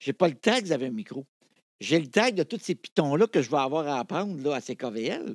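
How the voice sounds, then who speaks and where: A man's fairly high voice with very wide pitch swings at a moderate pace, dry with no echo, against a quiet background. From Quebec. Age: 60s. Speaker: television archivist and radio host; radio host. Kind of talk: casual interview chat. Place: studio. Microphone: studio mic.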